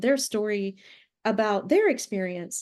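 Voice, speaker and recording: A woman with an American accent speaks at a fairly high pitch and a fairly slow pace. Her pitch varies in an ordinary way against a quiet background. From US South, Alabama. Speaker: author. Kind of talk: interview. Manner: halting, many fillers and repeats.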